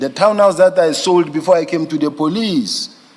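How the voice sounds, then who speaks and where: Noticeable background noise surrounds a man speaking at a fairly slow pace. His pitch is fairly high, with lively intonation. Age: 50s. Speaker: witness at an inquiry, police general. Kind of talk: testimony. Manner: halting, repetitive.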